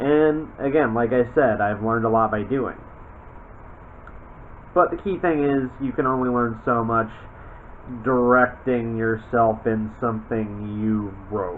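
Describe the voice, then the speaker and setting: A man at medium pitch with ordinary pitch variation, a fairly slow pace and long, frequent pauses, over noticeable background noise. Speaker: voice actor. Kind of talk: casual talk to camera.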